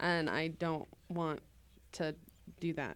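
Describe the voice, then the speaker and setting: Recorded very cleanly against a silent background, a woman speaks in a fairly low voice with a slight Midwestern US accent. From Springfield, Missouri. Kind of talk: casual chat.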